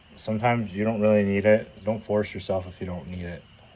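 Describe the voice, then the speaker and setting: Dark and mellow in tone, a man's voice holds a monotone, flat intonation. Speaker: vlogger. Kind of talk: casual monologue. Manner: halting.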